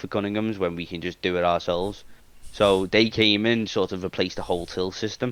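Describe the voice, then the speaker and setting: A man with a British accent talks at a fairly quick pace using fairly even intonation. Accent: regional British. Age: 20s. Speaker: IT technician and talent manager. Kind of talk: casual podcast interview. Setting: live-streamed online podcast. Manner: halting, many restarts and fillers.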